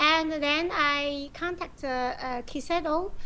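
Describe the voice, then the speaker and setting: A woman speaks in a high pitch with a Chinese accent. Noticeable background noise sits behind her. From China. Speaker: professional go player and teacher. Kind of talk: interview. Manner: halting, many fillers.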